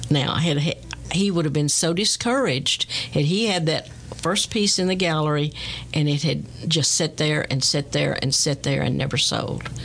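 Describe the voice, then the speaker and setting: A woman with an American accent at a moderate pace and very even loudness, over noticeable background noise. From Texas. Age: 70s. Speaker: artist and radio host. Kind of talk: interview. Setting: studio.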